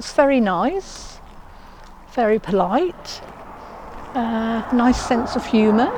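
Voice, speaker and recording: A woman talks at a very slow pace. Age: 70s. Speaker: older woman going on a date. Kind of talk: documentary interview. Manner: hesitant, with fillers.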